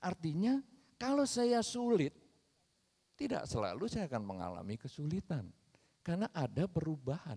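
A man with a fairly high pitch and a dark, mellow tone uses very wide pitch swings at a moderate pace, leaving long, frequent pauses over a quiet background. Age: 50s. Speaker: Buddhist monk; speaker. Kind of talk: Dhamma talk. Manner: animated. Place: stage. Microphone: handheld.

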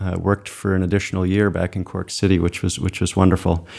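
This man's voice is very deep and low, with fairly even intonation. The background is quiet. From Maine, Cape Elizabeth; Maine. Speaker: landscape painter; guest. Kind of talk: interview. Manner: halting, many fillers and repeats. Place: studio. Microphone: studio mic.

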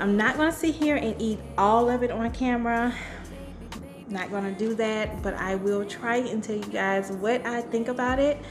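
Noticeable background noise sits behind a woman who speaks at a fairly slow pace. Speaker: food vlogger. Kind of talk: casual vlog chat. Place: kitchen. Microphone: studio mic.

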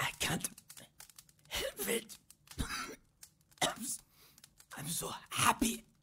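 A put-on character voice speaks at a fairly high pitch with a raspy sound. The pace is very slow, with long, frequent pauses. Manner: weak, emotional.

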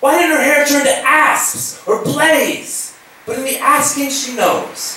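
A man talks in a space with audible room echo, and light noise can be heard behind him. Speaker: slam poet. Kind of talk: live poetry performance. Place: hall.

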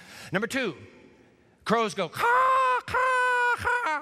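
A man uses a put-on character voice. He speaks at a very slow pace. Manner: cawing imitation.

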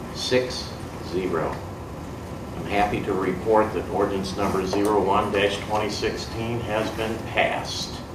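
A man talks at a very slow pace. Noticeable background noise can be heard. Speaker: city council president. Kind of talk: formal meeting. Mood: proud, formal. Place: meeting room. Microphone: podium.

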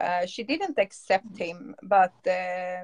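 A somewhat breathy woman with a Swedish accent, medium in pitch and ordinary in pitch variation, in a dry, close sound with no echo. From Stockholm, Sweden. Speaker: dog breeder. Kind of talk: casual interview. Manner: halting.

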